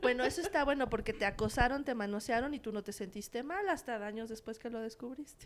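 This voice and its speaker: A woman talks at a very fast pace with hardly any pauses. Her high voice has ordinary pitch variation. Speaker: cultural journalist. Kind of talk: casual chat. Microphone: too far from the mic.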